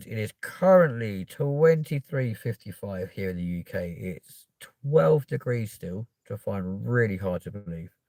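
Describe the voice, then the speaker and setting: Delivered at a fairly slow pace with hardly any pauses, the dark, mellow voice with a London accent shows big swings in loudness and very wide pitch swings in a dry, close sound with no echo. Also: man, fairly low pitch for a man. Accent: South West London. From South West London, UK. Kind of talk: casual.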